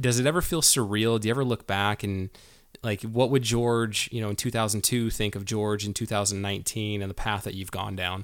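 A man speaks in an ordinary speaking voice, fairly low in pitch with fairly even intonation, at a moderate pace. The recording is very clean, with a silent background. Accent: American. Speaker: podcast host. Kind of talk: casual interview.

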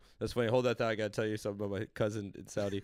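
With an American accent, a man has an ordinary speaking voice, a medium pitch and fairly even intonation. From Los Angeles, Woodland Hills. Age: 30s. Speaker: comedian.

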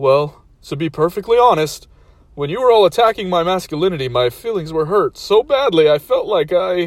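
Putting on a whiny character voice, a man speaks in a high pitch at a moderate pace with a whiny tone. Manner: whiny, self-pitying.

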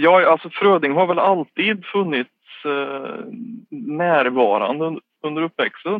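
A man speaks at a fairly slow pace with lively intonation. His pitch is fairly high. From Värmland, Sweden (Skåre near Karlstad). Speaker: government communications officer and literary society board member. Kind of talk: interview. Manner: halting.

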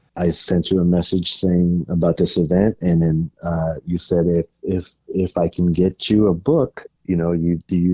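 A man with an American accent speaks in a very deep, low voice with a dark, mellow tone. His fairly slow delivery and fairly even intonation come through a dry, close sound with no echo. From San Francisco Bay Area, California. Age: 50s. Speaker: fan of the film. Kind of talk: interview. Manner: halting, repeats words.

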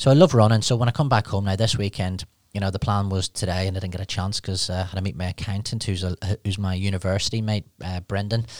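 A man talks at a very fast pace with a fairly low pitch and fairly even intonation. The recording is very clean with a silent background and a dry, close sound with no echo. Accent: Northern Irish. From Northern Ireland, Newry. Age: 40s. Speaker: recruitment business founder. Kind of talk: interview.

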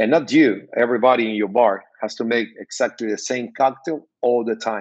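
A man speaks with a Spanish accent. His medium pitch carries fairly even intonation. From Cuba. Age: 50s. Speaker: bartender and cigar brand owner. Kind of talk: interview.

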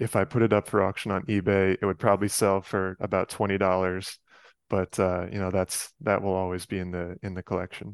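Monotone, flat speech with an American accent at a fairly quick pace, on a very clean recording with a silent background and a dry, close sound with no echo. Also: man, very deep, low pitch for a man. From New York area, Westchester County. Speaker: sports card collector and photographer. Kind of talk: casual chat.

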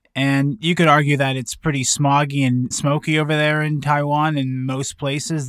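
Here is an ordinary speaking voice from a man at a fairly high pitch. He keeps a moderate pace. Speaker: podcast host. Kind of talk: monologue commentary with played clips. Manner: sardonic, opinionated.

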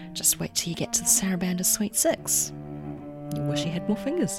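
There is music in the background. A woman speaks over it with a New Zealand accent. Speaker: podcast host.

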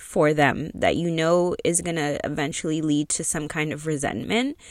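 The speaker has a Canadian accent. The recording is very clean, with a silent background. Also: woman. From Canada, Toronto area. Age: 40s. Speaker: podcast host. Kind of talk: personal monologue. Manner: hesitant, many fillers.

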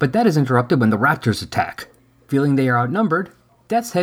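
Simple, plain reading aloud.

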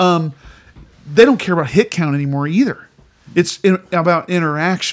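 A man speaks with an American accent at a high pitch and ordinary pitch variation. His moderate pace is broken by long, frequent pauses. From Indiana, US Midwest. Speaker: musician and podcast co-host. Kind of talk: casual chat.

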